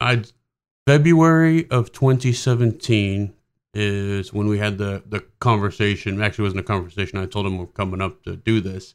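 Over a very clean recording with a silent background, a man speaks at a moderate pace in a fairly low pitch with ordinary pitch variation, an ordinary speaking voice. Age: 40s. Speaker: army warrant officer, organ donor. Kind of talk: interview.

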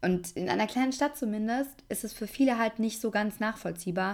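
A woman with a plain, everyday voice speaks at a moderate pace with lively intonation and fairly high pitch, on a very clean recording with a silent background. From Germany, Aschaffenburg area (Lower Franconia). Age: 20s. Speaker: podcast host. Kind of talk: casual monologue, podcast intro.

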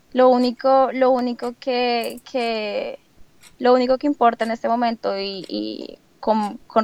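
A woman speaks with monotone, flat intonation. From Colombia, Bogotá. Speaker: au pair nanny. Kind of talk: interview.

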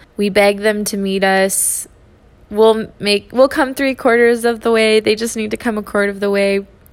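Her pitch medium, a woman talks with monotone, flat intonation. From Texas. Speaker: podcast host. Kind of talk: inspirational solo podcast talk.

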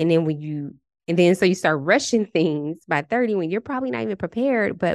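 A woman speaks at a fairly quick pace with an animated tone and very wide pitch swings. The sound is dry and close, with no echo. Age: 30s. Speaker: podcast host and relationship coach. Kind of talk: casual solo monologue.

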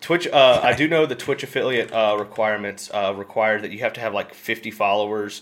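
Against noticeable background noise, a man with an American accent speaks at a fairly low pitch. His pace is fairly quick, with ordinary pitch variation. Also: hardly any pauses. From Memphis, Tennessee (US South). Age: 20s. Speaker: Twitch streamer. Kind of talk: casual chat.

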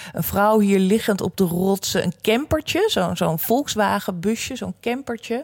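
Through noticeable background noise, a woman speaks at a fairly slow pace with hardly any pauses, in a dry, close sound with no echo. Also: medium pitch for a woman, ordinary pitch variation. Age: 50s. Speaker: career coach. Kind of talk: solo podcast talk. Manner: hesitant, many fillers.

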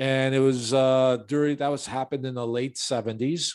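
Heard on a very clean recording with a silent background, a man with an American accent speaks at a moderate pace in a normal speaking voice with fairly even intonation. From Chicago, US Midwest. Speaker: real estate investor. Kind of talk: interview.

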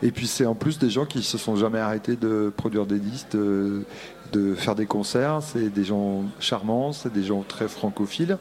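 A man with a fairly low voice talks at a fairly slow pace, his pitch varying in an ordinary way. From Brittany. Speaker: concert venue director. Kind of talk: interview. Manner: halting.

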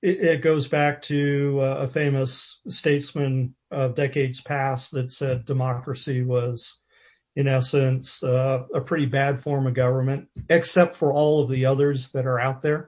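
A man's fairly high, somewhat breathy voice, monotone and flat, at a fairly slow pace. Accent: American. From US, military family, various states. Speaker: interviewer and former scuba diver. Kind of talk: interview.

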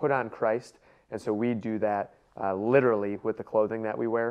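A man with an American accent speaks at a moderate pace. His medium-pitched voice stays monotone and flat. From US Midwest, Cleveland, Ohio. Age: 30s. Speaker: sales expert and entrepreneur. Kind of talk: interview.

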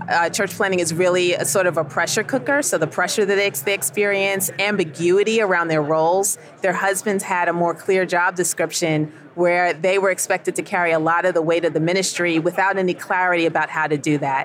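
An unremarkable speaking voice from a woman with an American accent, fairly low in pitch, at a fairly quick pace with hardly any pauses, very even loudness and fairly even intonation. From New York, Queens. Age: 50s. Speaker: ministry executive director. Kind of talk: radio interview. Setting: convention broadcast booth.

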